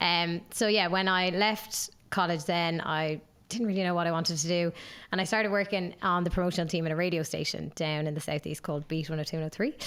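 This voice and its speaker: With a southeastern Irish accent, a woman speaks at a very fast pace in a fairly low voice with fairly even intonation. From Ireland, Waterford. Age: 20s. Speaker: graduate brand ambassador, former radio presenter. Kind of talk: casual podcast interview.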